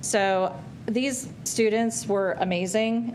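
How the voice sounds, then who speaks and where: A woman's voice has fairly even intonation, heard with audible room echo. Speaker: branding agency presenter. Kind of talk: presentation to school board. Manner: loud.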